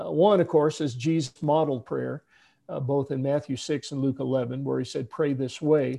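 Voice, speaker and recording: A man speaks with a fairly high pitch and fairly even intonation. His tone is dark and mellow, over a quiet background. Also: moderate pace. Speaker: pastor and prayer author. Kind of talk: conversational interview discussion.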